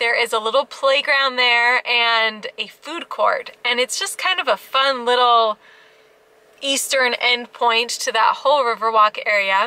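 A woman's high-pitched, bright, sharp, upbeat voice, fairly slow with ordinary pitch variation, in a dry sound with no echo. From Alaska. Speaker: family travel vlogger. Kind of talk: travel vlog narration. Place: car. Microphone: phone near.

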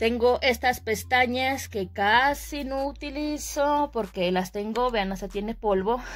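Speaking at a very slow pace with hardly any pauses, a woman uses a fairly high pitch and ordinary pitch variation. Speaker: beauty vlogger. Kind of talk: casual product tour video. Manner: chatty, with many filler sounds.

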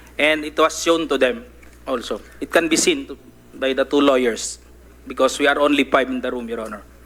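Here is a man with an ordinary speaking voice and a fairly high pitch. He speaks at a fairly quick pace, with ordinary pitch variation and big swings in loudness. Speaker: police officer testifying. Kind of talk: reading a prepared statement. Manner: formal.

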